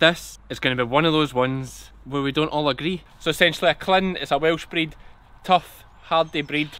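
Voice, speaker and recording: The voice has a strong Scottish accent and fairly even intonation, with a dry sound and no echo. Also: man, fairly high pitch for a man, moderate pace. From Ayrshire, South West Scotland. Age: 30s. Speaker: sheep farmer. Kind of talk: casual farm vlog talk to camera. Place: farm machine. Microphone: phone near.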